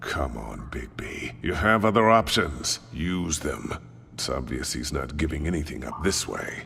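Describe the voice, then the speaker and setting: In a put-on character voice, a man speaks at a moderate pace with a very deep, low pitch and very wide pitch swings over clear background noise. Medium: video game. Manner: haughty, cutting.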